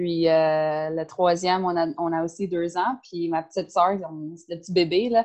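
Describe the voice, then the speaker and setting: A woman with an unremarkable speaking voice, a fairly low pitch, fairly even intonation and a fairly slow pace, against a quiet background. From Ontario, outside Toronto. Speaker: CrossFit coach and nutritionist. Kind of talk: casual interview.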